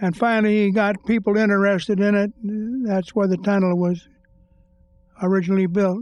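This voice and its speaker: Using a high pitch, a man speaks in a flat monotone with very even loudness and long, frequent pauses. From US West (Pinole, California). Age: 80s+. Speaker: longtime local resident. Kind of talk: oral history interview.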